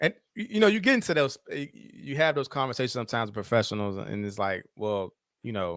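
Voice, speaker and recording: A man with an American accent at a very fast pace, medium pitch, lively intonation and big swings in loudness, on a very clean recording with a silent background. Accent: country twang. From Virginia, Caroline County. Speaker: social worker and professor. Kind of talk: casual interview. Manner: slightly slurred words.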